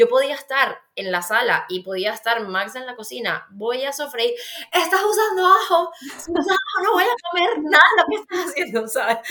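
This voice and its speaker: A woman with a Venezuelan accent uses a raised, projected voice at a high pitch with very wide pitch swings and big swings in loudness. She keeps a moderate pace over noticeable background noise. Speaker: pediatric dietitian and author. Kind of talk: casual interview chat.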